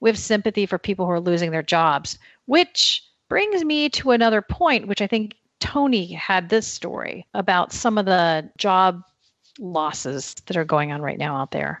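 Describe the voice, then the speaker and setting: A woman's medium-pitched voice with very wide pitch swings. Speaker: podcast host. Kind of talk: casual chat.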